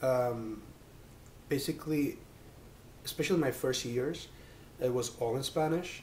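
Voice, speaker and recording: A man with a medium pitch speaks at a fairly slow pace in a somewhat breathy voice, using ordinary pitch variation, with audible room echo around him. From Spain, Mallorca. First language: Catalan. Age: 20s. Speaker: PhD student. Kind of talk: interview. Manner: halting, many fillers.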